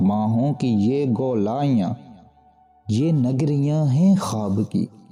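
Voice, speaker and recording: A man talks, his pitch varying in an ordinary way. Behind him, music is playing. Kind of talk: poetry reading.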